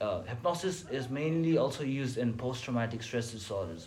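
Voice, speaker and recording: A man at a moderate pace, with audible room echo. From Nepal. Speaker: psychology student. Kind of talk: casual chat.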